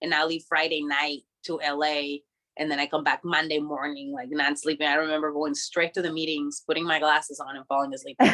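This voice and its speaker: At a very deep, low pitch, a woman talks fairly quickly in a bright, sharp tone with monotone, flat intonation. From Mexico, Tijuana. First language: Spanish. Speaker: professional wrestler. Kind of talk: casual interview. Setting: video call. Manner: casual, filler-heavy.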